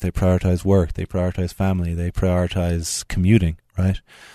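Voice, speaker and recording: A man with an Irish accent, very deep and low in pitch, with a dark, mellow tone at a fairly quick pace, in a dry, close sound with no echo over a quiet background. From Ireland, Tipperary. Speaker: cardiologist. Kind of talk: radio interview. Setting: studio.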